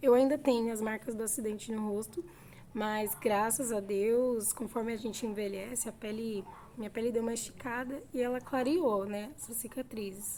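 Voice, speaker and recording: Her pitch is fairly high. The woman's intonation stays fairly even. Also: moderate pace. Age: 30s. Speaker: vlogger. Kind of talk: casual chat.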